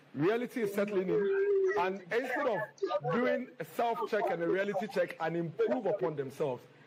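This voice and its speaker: Over noticeable background noise, a man with a high pitch and lively intonation talks at a moderate pace with hardly any pauses and very even loudness. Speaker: party spokesperson. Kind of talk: press conference.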